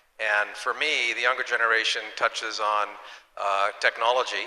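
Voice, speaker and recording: A man's monotone, flat intonation comes at a fairly quick pace, with noticeable background noise present. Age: 60s. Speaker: hospitality business executive. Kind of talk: panel discussion.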